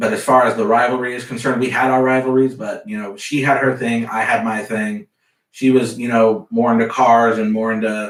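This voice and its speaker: A man with an American accent talks in an unremarkable speaking voice at a medium pitch and a moderate pace. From US South, Central Florida. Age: 20s. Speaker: car salesman, bereaved brother. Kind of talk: interview testimony.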